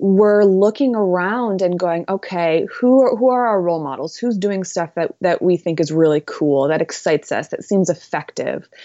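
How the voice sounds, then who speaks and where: An ordinary speaking voice from a woman, medium in pitch, with ordinary pitch variation and a moderate pace. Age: 20s. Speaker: author and mother-daughter workshop teacher. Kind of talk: interview conversation.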